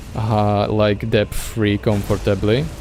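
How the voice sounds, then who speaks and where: Over background music, a man with a non-native accent and a fairly low pitch speaks at a very slow pace. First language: not English. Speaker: gaming streamer. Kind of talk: gameplay commentary. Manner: casual, with hesitations.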